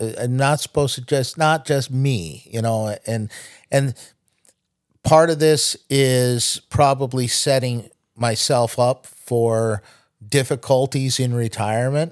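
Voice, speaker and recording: Speaking at a fairly slow pace, a man has a normal speaking voice, medium in pitch, with fairly even intonation. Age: 60s. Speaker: podcast host's father, night-shift worker. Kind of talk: casual chat. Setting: studio.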